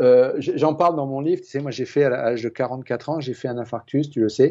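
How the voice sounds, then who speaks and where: Fairly quick and medium-pitched, a man talks with a dark, mellow tone and fairly even intonation. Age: 60s. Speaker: water expert and author. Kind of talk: interview. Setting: TV studio. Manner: hesitant, many repetitions.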